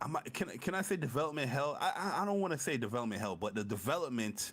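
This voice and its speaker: This man talks loudly and very fast at a fairly high pitch, with very wide pitch swings. Noticeable background noise is present. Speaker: gaming podcast co-host. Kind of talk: casual chat. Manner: animated.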